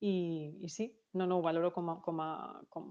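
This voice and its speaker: The speaker is a woman whose pitch is fairly low. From Catalonia, Lleida. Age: 30s. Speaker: insurance advisor. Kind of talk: interview.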